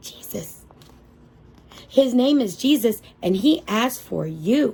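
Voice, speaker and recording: A woman puts on a character voice with a fairly high pitch. She speaks at a fairly slow pace with lively intonation. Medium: read story. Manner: earnest.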